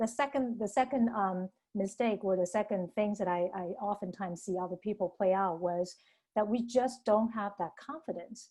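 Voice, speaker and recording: The woman's tone is dark and mellow. Her pitch varies in an ordinary way. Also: medium pitch for a woman, moderate pace. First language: not English. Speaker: interviewer, financial planning educator. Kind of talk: interview.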